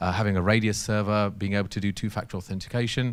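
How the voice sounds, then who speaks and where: In a very clean recording with a silent background, a man with a London accent speaks in a fairly low voice with fairly even intonation. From London, England. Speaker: technology company systems engineer presenter. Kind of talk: technical workshop presentation. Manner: fast; hesitant with fillers and repetitions.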